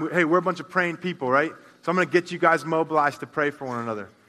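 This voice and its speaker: A man talks at a very fast pace in a high pitch with ordinary pitch variation. Noticeable background noise sits behind him. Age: 30s. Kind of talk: sermon. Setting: church. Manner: casual.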